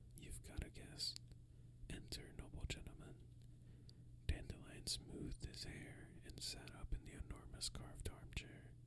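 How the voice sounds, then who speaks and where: The speaker whispers at a fairly slow pace. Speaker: ASMR creator. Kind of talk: read story. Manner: whispered.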